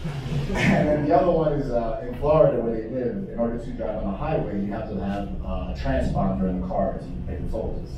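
A man speaks at a fairly quick pace amid noticeable background noise and strong room echo. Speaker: stand-up comedian. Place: bar.

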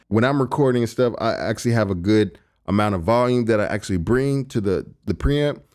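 A man speaks with a fairly low pitch and a slightly mellow tone, at a moderate pace with ordinary pitch variation. The recording is very clean, with a silent background.

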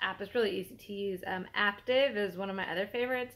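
Here a woman talks at a moderate pace. Her pitch variation is ordinary. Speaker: fitness vlogger. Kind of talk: casual vlog chat. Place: home room. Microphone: phone near.

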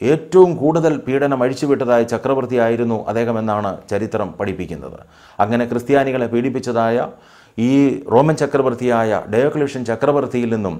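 With a dark, mellow tone, a man speaks with ordinary pitch variation against a quiet background. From Kerala, India. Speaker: pastor. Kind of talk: Bible study teaching. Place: home room. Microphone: lapel.

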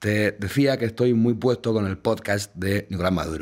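Over a quiet background, a man speaks in a fairly low pitch. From Spain, Valencia; Spain. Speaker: podcast host, radio journalist. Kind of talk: casual chat. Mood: playful, deadpan irony. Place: studio. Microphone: studio mic.

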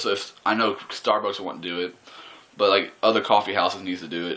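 A man with an American accent, fairly quick in pace, with fairly even intonation. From Texas. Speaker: YouTuber. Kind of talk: profane angry rant to camera, griping about Starbucks parking and store overload. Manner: exasperated, expletive-laden, sneering; rambling, casual, frequent laughs and fillers. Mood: annoyed, sarcastic ranting. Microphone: webcam.

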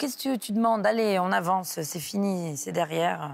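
A woman talks with lively intonation, keeping a moderate pace. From southern France, near Aix-en-Provence; France. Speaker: comedian; comedian guest. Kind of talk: radio interview. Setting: radio studio, live morning show. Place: studio. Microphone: lapel.

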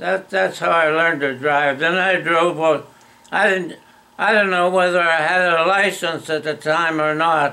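A high-pitched male voice, bright and sharp in tone, with fairly even intonation and very even loudness. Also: fairly slow pace. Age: 80s+. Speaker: storyteller. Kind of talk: casual reminiscence. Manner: halting. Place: home room. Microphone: phone near.

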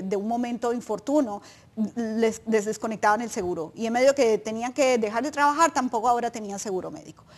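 This woman has a fairly high pitch. Her pitch variation is ordinary. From Colombia. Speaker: nonprofit advocacy director; guest. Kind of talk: informational interview. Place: studio. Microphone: lapel.

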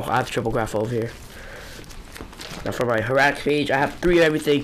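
There is noticeable background noise behind this speaker. A man talks at a fairly high pitch with ordinary pitch variation. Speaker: trading card collector. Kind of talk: casual talk to camera.

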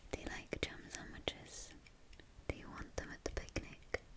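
A woman is whispering. She is soft-spoken. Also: moderate pace. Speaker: role-play host. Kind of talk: soft-spoken role-play chat. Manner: soft close whisper. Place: home room.

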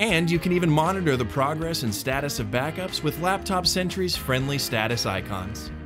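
A man with a fairly high voice talks at a moderate pace, his pitch swinging very widely. He hardly pauses, and clear music plays in the background. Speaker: voice actor. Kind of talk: product explainer narration. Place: studio. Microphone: studio mic.

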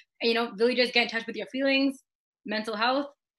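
A woman with an American accent, a fairly high pitch, and a bright, sharp tone against a quiet background. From USA, Indian American. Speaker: beauty pageant runner-up and dancer; interview guest. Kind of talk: casual interview chat. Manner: fast, many fillers and repetitions. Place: home room. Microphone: video call.

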